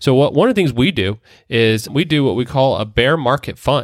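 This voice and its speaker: Recorded very cleanly against a silent background, a man at medium pitch speaks at a moderate pace with lively intonation in a normal speaking voice. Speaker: podcast co-host, wealth management director. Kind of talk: casual chat about finance.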